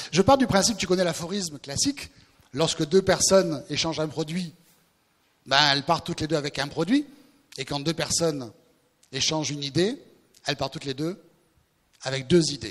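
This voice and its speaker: Speaking at a fairly quick pace in a fairly high voice, a man uses ordinary pitch variation and leaves long, frequent pauses. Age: 60s. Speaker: recruitment consultant. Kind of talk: staged sketch and speech at a new year event. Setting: event with audience.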